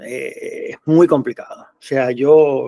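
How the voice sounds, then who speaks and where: A man with a Cuban accent. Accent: Cuban Spanish with Canarian-like lilt. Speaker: association president, activist. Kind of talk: interview. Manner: halting, many fillers.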